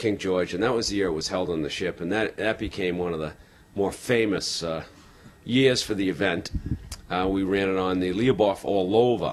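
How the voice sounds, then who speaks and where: A plain, everyday voice from a man, fairly low in pitch, with fairly even intonation and a moderate pace. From Boston. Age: 50s. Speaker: marathon tour organizer. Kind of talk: interview.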